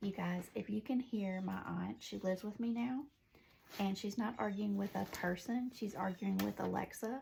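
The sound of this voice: With a Southern US accent, a woman speaks at a moderate pace and medium pitch, her pitch varying an ordinary amount, her tone slightly mellow with a slightly husky edge and vocal fry.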